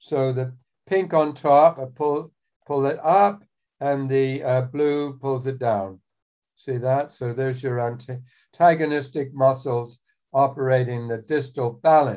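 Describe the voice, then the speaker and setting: A man speaks fairly slowly in a dark, mellow tone, with ordinary pitch variation and a quiet background. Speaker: anatomy demonstrator. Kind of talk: tutorial. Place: home room. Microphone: phone near.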